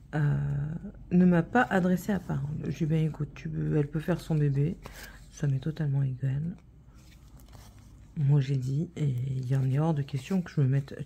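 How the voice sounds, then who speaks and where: Somewhat breathy and dark, mellow in tone, a woman's very deep, low voice moves at a moderate pace with long, frequent pauses. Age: 30s. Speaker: vlogger. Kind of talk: casual chat. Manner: hesitant, many fillers.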